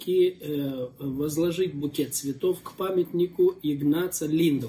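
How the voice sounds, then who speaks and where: A dark, mellow tone at a very slow pace. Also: man. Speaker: pastor and interviewer. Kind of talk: casual interview.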